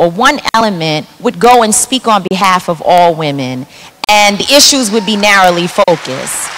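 Taking a fairly slow pace, a woman's voice swings very widely in pitch. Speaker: activist; panelist. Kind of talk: panel discussion. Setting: stage with audience. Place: stage. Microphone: handheld.

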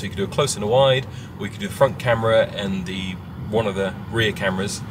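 Over noticeable background noise, a man talks very fast at a fairly low pitch. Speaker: filmmaker vlogger. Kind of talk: casual vlog chat. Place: car. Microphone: phone near.

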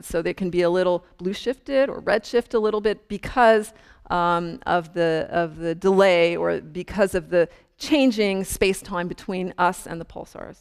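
A woman at a fairly slow pace, against a quiet background. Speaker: astrophysicist giving public lecture. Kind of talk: lecture. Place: hall. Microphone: lapel.

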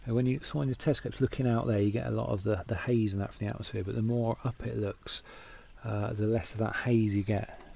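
A mumbling man with a somewhat breathy, dark, mellow tone and fairly even intonation, in a dry sound with no echo. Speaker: amateur astronomer. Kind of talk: casual talk to camera. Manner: mumbling, hesitant. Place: home room. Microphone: phone near.

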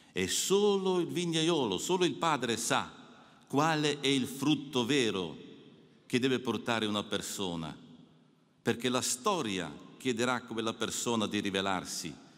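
Against a quiet background, a man speaks at a fairly slow pace with long, frequent pauses and very wide pitch swings. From Alpine mountain region. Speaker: priest giving a retreat meditation. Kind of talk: spiritual meditation address. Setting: audience of clergy and the Pope. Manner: formal. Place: hall. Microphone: podium.

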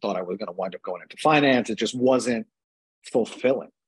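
A man speaks with a New York accent at a very fast pace. His pitch varies in an ordinary way. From New York City (Brooklyn / Staten Island). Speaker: cardiologist. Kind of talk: casual interview chat. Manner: halting.

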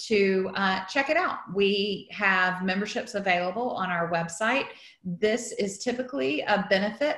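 Someone speaks at a fairly slow pace with audible room echo. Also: woman, ordinary pitch variation. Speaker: event host. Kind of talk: meeting introduction. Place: home room. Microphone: video call.

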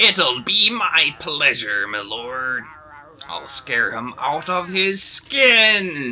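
A man puts on a character voice at a fairly high pitch, with very wide pitch swings. He speaks at a very slow pace. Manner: servile, eager.

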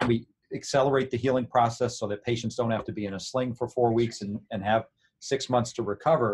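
A man's medium-pitched, somewhat breathy voice at a fairly quick pace, with fairly even intonation. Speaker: orthopedic surgeon. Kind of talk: interview.

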